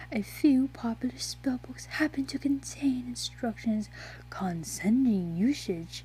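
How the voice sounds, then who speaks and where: Over light background noise, a woman uses a put-on character voice at a fairly slow pace. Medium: read story. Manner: flirty, teasing.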